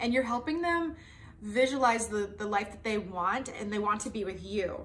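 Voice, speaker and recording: A woman's fairly high, bright, sharp voice at a moderate pace, with ordinary pitch variation and audible room echo. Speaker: tarot reader. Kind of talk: tarot reading monologue. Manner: animated.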